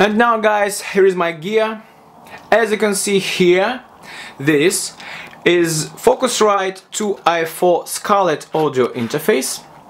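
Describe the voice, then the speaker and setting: With a Russian accent and a high pitch, a man speaks at a very slow pace with ordinary pitch variation against noticeable background noise. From Russia, Moscow. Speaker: music production student teaching a lesson. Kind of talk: tutorial. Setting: small home room with a condenser mic. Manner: halting.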